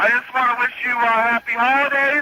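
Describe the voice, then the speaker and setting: A man speaks in a raised, projected voice at a moderate pace. Noticeable background noise sits behind him. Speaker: radio executive producer and on-air personality. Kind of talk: radio morning show prank call, casual banter. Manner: playful, upbeat, mock-earnest.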